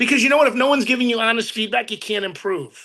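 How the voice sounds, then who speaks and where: Raising and projecting his voice, a man speaks at an extremely high pitch with a bright, sharp, animated tone and lively intonation. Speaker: real estate sales trainer. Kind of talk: motivational training talk. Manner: fast.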